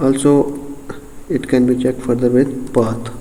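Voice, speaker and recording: A man's medium-pitched voice with a non-native accent, very slow and fairly even, amid noticeable background noise and audible room echo. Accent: non-native English, self-described. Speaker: software tutorial creator. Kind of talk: tutorial. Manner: halting, many fillers.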